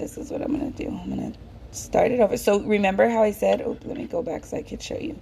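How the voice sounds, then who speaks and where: This woman's voice has a dark, mellow tone. Vocal fry runs through it. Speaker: crochet teacher. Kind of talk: tutorial. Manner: slow; casual, halting with fillers.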